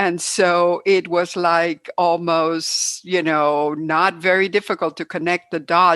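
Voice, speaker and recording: A woman with a Cuban American accent and a fairly low pitch speaks in a monotone, flat intonation, the sound dry and close with no echo on a very clean recording with a silent background. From Cuba, then United States. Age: 70s. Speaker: hiker and trail organizer. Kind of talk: interview.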